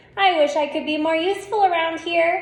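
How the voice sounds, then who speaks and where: A woman's squeaky, put-on character voice at an extremely high pitch, with slight echo. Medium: read story.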